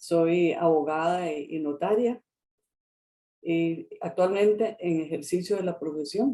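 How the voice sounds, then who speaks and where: Speaking very slowly, a woman has a dark, mellow tone and a fairly low pitch with ordinary pitch variation. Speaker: lawyer and notary. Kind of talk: interview. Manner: halting, repeats words.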